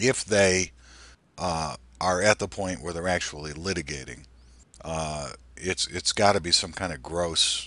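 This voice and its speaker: Speaking at a fairly slow pace with long, frequent pauses, a man uses a very deep, low voice with vocal fry, a bright, sharp tone and ordinary pitch variation. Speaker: podcast host. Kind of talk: casual chat. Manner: halting.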